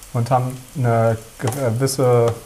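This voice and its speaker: Noticeable background noise beneath a man speaking at medium pitch. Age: 30s. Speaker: architect. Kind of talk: casual chat. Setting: on location in a housing project, while cooking. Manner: halting.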